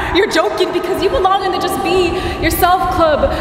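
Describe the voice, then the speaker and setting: Speaking at a very fast pace in an extremely high pitch, a woman is heard amid noticeable background noise and audible room echo. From Guam. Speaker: spoken word poet. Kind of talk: spoken word performance.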